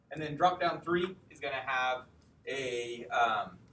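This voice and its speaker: The pitch varies in an ordinary way. There is audible room echo. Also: man. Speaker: coding bootcamp instructor. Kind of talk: lecture. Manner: loud.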